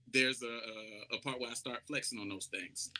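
The voice carries a South Carolina accent. Its tone is bright and sharp, and its pace moderate. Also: man. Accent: Southern US (South Carolina). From US South, Charleston, South Carolina. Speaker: R&B soul singer. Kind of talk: casual interview chat.

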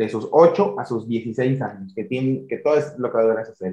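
At a moderate pace, a man speaks at a medium pitch with a dark, mellow tone and ordinary pitch variation. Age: 20s. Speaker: podcast host. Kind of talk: casual interview.

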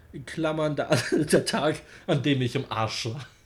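This man's voice sits fairly high for a man and carries vocal fry. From Germany, Wolfsburg. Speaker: metal podcast host. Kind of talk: casual chat.

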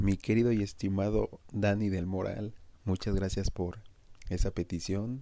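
A man's fairly low, dark, mellow voice in a flat monotone at a fairly slow pace. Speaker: podcast host. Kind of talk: storytelling narration.

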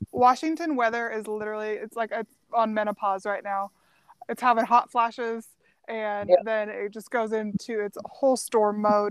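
Fairly even intonation and big swings in loudness mark a woman's unremarkable speaking voice at a fairly high pitch, on a very clean recording with a silent background. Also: moderate pace. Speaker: author guest. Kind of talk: casual chat.

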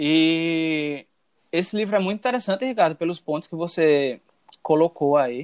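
A man with a fairly high pitch and ordinary pitch variation talks at a moderate pace in an ordinary speaking voice, recorded dry and close with no echo. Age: 20s. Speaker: podcast co-host. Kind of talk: casual chat.

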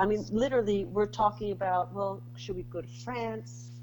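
A woman with a New York accent at a moderate pace. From Bronx, New York. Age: 40s. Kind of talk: casual interview chat.

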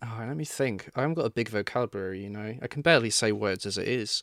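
A man speaks at a medium pitch with ordinary pitch variation and a very fast pace. The recording is very clean, with a silent background. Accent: English. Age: 20s. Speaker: true crime YouTuber. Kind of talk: casual chat.

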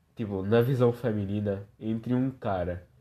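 A man's fairly slow, dark and mellow voice with ordinary pitch variation against a quiet background. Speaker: podcast host. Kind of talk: casual chat. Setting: lying on living room floor at home. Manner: drunken, slurred.

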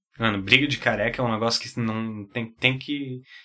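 There is music in the background as a man speaks at a medium pitch. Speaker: podcast co-host. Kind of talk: casual chat.

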